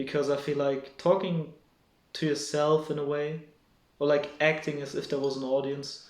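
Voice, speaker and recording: Speaking at a moderate pace with a fairly high pitch, a man keeps a monotone, flat intonation as audible room echo fills the recording. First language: not English. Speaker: solo vlogger. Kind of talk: casual monologue to camera. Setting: home at night, speaking alone to camera. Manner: halting, many fillers and restarts.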